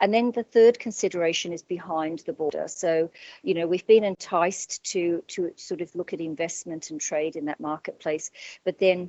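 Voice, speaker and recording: A woman with an Australian accent and fairly low pitch, at a moderate pace. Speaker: business owner. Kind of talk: panel discussion. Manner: halting.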